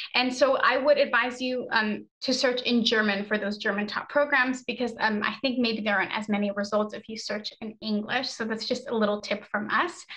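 In an American accent, a woman talks at a moderate pace with fairly even intonation and hardly any pauses against a quiet background. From United States. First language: Spanish. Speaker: study-abroad advisor and webinar presenter. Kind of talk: webinar presentation. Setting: video call. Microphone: webcam.

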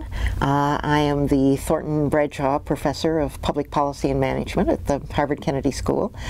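With an American accent, a woman speaks at a fairly quick pace in a very deep, low pitch and a monotone, flat intonation. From United States, Illinois. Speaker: university professor and academic dean. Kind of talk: oral history interview answer. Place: studio. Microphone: lapel.

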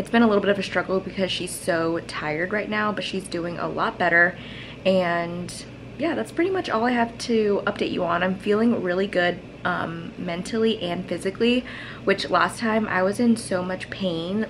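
A woman at a moderate pace, with ordinary pitch variation and light background noise. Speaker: new mother vlogger. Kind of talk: casual vlog chat. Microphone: phone near.

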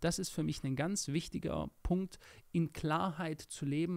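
A man speaks at a moderate pace in a high pitch over a quiet background. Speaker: podcast co-host. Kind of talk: casual chat. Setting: studio. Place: studio. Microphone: studio mic.

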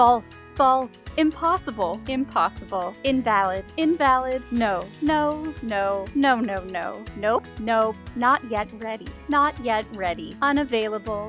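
Music plays in the background as a woman speaks very slowly with hardly any pauses. Her fairly high voice carries lively intonation. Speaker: voice actor. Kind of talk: game announcer lines. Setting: studio. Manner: energetic, positive.

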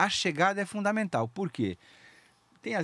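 At a fairly quick pace, the voice moves through very wide pitch swings, recorded dry with no echo. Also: man. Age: 60s. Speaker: open-water swimmer; podcast guest. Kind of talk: casual interview chat. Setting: studio. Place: studio. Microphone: studio mic.

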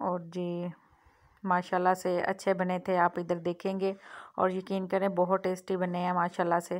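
Her fairly low voice stays in a monotone, flat intonation as this woman speaks. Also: moderate pace.

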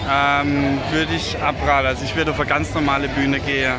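A man's voice, dry with no echo, over loud background music. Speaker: travel vlogger. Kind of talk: casual vlog chat. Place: stadium. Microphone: phone near.

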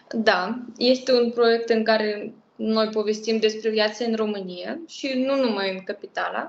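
A woman with a Russian accent speaks fairly slowly with fairly high pitch and fairly even intonation, with audible room echo. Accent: Russian accent in Romanian. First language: Russian (speaking Romanian). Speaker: language project co-creator; interview guest. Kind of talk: interview; interview answer. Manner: halting. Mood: warm, relaxed. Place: home room. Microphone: video call.

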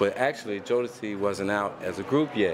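Against noticeable background noise, a man speaks in a fairly low pitch. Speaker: interviewee. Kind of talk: interview answer. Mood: relaxed, laughing. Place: home room.

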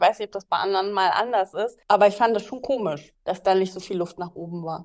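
A woman with a medium pitch speaks at a fairly quick pace in an unremarkable speaking voice. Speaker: podcast co-host. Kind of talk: casual chat.

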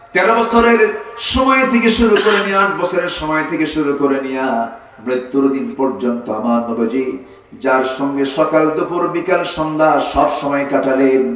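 There is audible room echo as a man talks with very wide pitch swings. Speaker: Islamic preacher giving a waz sermon. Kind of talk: Islamic sermon (waz) delivered to a live audience. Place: stage.

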